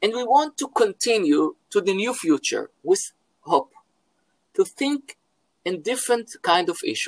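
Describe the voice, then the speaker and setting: In a dry, close sound with no echo, a man with an Israeli accent speaks at a fairly slow pace and an extremely high pitch, with very wide pitch swings and long, frequent pauses. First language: Hebrew. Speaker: philosophy professor. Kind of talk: interview. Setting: video call from home. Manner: halting.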